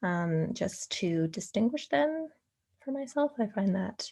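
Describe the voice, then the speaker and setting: Against a quiet background, a somewhat breathy voice with a dark, mellow tone moves in lively intonation. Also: woman. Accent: Canadian. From Canada. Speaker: LSAT tutor. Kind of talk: tutorial. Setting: screen recording. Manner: hesitant, many fillers.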